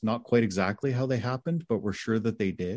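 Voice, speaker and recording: Over a quiet background, a man with a plain, everyday voice speaks at medium pitch with ordinary pitch variation. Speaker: film director. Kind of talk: interview. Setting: video call.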